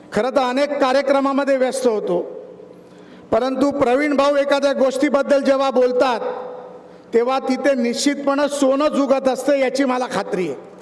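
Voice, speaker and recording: Noticeable background noise and audible room echo fill the clip. A man speaks at an extremely high pitch. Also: fairly even intonation. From Maharashtra, India. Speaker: politician. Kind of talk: public speech. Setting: stage with audience. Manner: formal.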